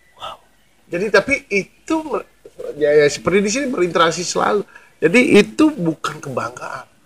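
A man speaks at a high pitch, with very wide pitch swings and big swings in loudness. Long pauses come often. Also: moderate pace. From Bali, Indonesia. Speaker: spiritual figure, former tattoo artist. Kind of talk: interview about spirituality.

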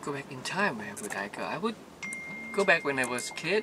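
The speech moves at a fairly slow pace with clear background noise behind it. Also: man.

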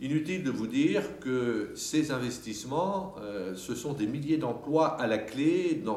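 A man talks with very wide pitch swings. Room echo is audible. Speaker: city mayor. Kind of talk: interview answer. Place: hall.

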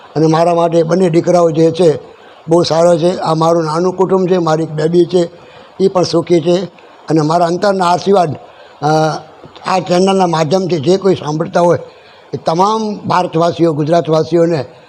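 A man with a high voice speaks in a flat monotone at very even loudness. Background noise is noticeable. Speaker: temple priest. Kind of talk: interview.

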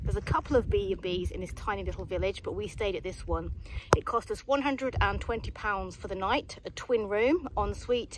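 Loud background noise surrounds a woman speaking at a moderate pace. Her voice is dry, with no echo. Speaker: hiking vlogger. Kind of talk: casual vlog chat. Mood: cheerful, upbeat. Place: open country. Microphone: phone near.

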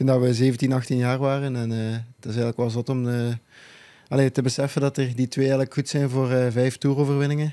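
The background is quiet as a man speaks at a fairly quick pace. His tone is dark and mellow, his intonation monotone and flat. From Belgium. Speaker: professional cyclist; guest. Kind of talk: casual chat. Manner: halting, many uh fillers. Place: studio. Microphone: studio mic.

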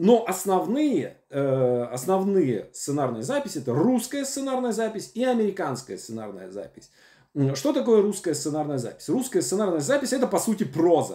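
A man's high voice with very wide pitch swings, over a quiet background. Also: moderate pace. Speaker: screenwriting teacher. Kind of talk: lecture. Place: home room. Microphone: webcam.

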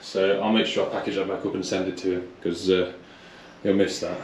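At a very fast pace, a man with a fairly low pitch speaks amid light background noise and audible room echo. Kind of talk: casual vlog chat. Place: garage. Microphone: phone near.

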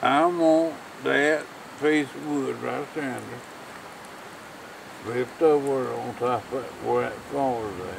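Amid noticeable background noise, a man speaks at a very slow pace with big swings in loudness and long, frequent pauses. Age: old. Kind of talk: casual talk around a campfire. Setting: outdoors. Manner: drunk, mumbling, rambling. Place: open country. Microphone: camera far.

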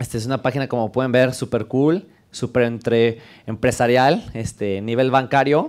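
Fairly even intonation marks this man's speech at a moderate pace. The background is quiet. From Mexico, León; Mexico. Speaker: developer advocate; conference speaker. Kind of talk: conference talk. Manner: casual, joking. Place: classroom. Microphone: headset.

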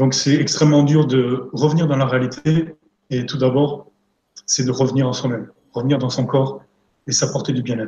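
A man's somewhat breathy voice with a dark, mellow tone, monotone, flat intonation, long, frequent pauses and audible room echo. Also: moderate pace. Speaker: energy therapist and coach. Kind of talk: live interview, talking about therapy. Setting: live online stream. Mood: calm, serious. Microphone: video call.

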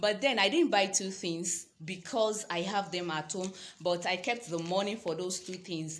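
The speech has ordinary pitch variation and moves at a fairly slow pace. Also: woman. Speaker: vlogger. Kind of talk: casual vlog chat. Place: home room. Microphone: phone near.

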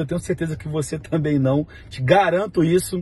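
The speaker talks in a Rio de Janeiro accent with ordinary pitch variation, and the sound is dry with no echo. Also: man. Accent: Carioca Brazilian Portuguese. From Brazil, Rio de Janeiro (Vigário Geral). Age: 30s. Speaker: network marketing leader. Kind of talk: testimony. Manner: casual. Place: car. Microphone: phone near.

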